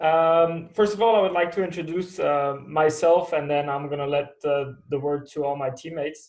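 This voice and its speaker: A man speaks in a normal speaking voice. His pitch is fairly high and his intonation fairly even. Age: 30s. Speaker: skydiver. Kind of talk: webinar talk.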